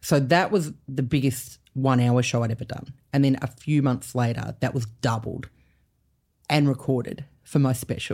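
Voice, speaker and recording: Speaking in an Australian accent at a moderate pace, a woman has a very deep, low pitch, a dark, mellow tone and fairly even intonation. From Canberra, Australia. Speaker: comedian. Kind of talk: casual chat.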